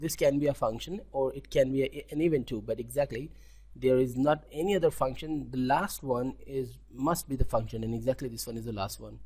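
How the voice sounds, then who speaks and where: Speaking with an Indian accent, a man moves at a fairly quick pace. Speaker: web development tutor. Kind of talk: tutorial. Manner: halting, with frequent self-corrections.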